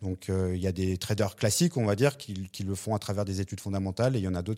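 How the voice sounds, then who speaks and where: On a very clean recording with a silent background, a man speaks at a fairly quick pace in a very deep, low pitch with a dark, mellow tone and fairly even intonation. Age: 40s. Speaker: crypto startup co-founder. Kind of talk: interview.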